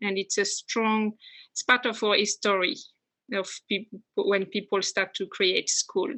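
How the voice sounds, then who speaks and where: In a French accent, a woman speaks at a fairly slow pace with fairly even intonation and long, frequent pauses. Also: medium pitch for a woman. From France, west coast. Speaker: immigrant interviewee. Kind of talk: interview. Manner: halting.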